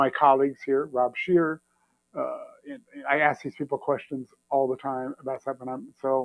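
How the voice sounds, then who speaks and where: At a moderate pace, a man with a fairly high pitch leaves long, frequent pauses. His loudness swings widely. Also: dry, close sound with no echo. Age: 60s. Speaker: trumpet player. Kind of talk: casual interview chat. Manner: halting; animated.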